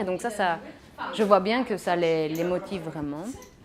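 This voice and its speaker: With noticeable background noise, a woman talks at a moderate pace and ordinary pitch variation. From Belgium, Mons. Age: 20s. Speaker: teacher. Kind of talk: interview. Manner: halting.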